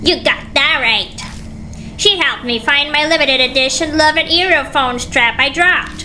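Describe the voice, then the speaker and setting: A woman performs a put-on character voice at very even loudness. Clear music plays behind her. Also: moderate pace. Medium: game stream. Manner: nervous, eager.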